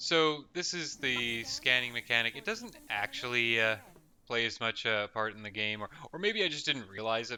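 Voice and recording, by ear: Someone is reading aloud in a natural voice with lively intonation.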